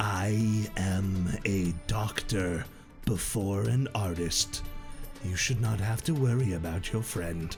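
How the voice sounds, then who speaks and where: Using a put-on character voice, a man speaks in a fairly low pitch. His pace is fairly slow, with clear music in the background. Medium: actual play. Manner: calm, polite, quietly creepy.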